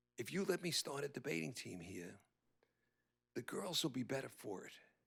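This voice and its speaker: Using vocal fry, a man with an American accent talks at a moderate pace and medium pitch. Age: 80s. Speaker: veteran educator and debate coach. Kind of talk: ceremony speech. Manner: repeats words, halting at times.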